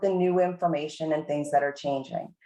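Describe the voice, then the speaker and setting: The speaker here is a woman. She talks with an American accent. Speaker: university administrator leading faculty meeting. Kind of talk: meeting presentation.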